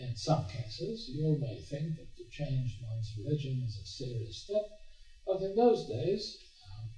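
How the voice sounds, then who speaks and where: Music plays in the background as a man speaks at a fairly slow pace with very wide pitch swings. There is audible room echo. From Hungary, Budapest. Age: 80s+. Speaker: Holocaust survivor speaker. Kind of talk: talk to students. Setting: stage with audience. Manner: halting.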